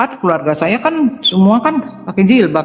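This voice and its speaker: Noticeable background noise sits under a woman's voice. She speaks at a moderate pace with very wide pitch swings. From Indonesia, Palembang, raised in Jakarta. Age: 60s. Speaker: doctor giving conversion testimony. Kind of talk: testimony. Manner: halting.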